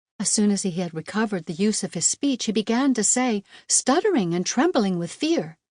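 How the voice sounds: The delivery is a natural reading voice with lively intonation.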